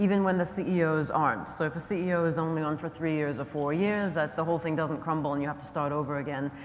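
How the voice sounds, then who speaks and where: Over noticeable background noise and audible room echo, a woman with a fairly low pitch talks at a fairly quick pace with ordinary pitch variation. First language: not English. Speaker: conference moderator. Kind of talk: panel conversation. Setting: conference stage.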